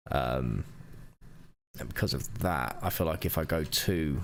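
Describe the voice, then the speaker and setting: A man speaks with vocal fry. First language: not English. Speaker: digital artist streamer. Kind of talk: live art stream commentary. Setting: livestream. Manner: casual, thinking aloud.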